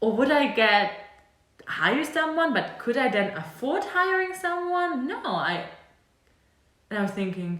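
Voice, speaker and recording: A woman with a German accent talks at a moderate pace, her pitch swinging very widely. Audible room echo surrounds her voice. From Germany. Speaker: e-commerce consultant and video creator. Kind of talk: tutorial. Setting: home apartment. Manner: casual, conversational with fillers.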